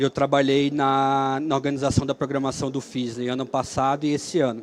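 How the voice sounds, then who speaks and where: A man with a fairly high pitch. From Brazil, Alagoas (Maceió). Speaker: software engineer and free software speaker. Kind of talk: conference talk. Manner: hesitant, with fillers.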